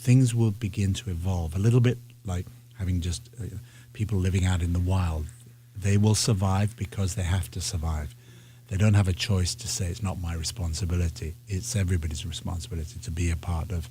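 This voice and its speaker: A man's very deep, low voice with a dark, mellow tone, somewhat breathy, with ordinary pitch variation, a fairly quick pace and a British accent. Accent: British (English) accent, fully intact. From northern England. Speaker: ballet artistic director. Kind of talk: interview. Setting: radio studio. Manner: halting, with many repetitions.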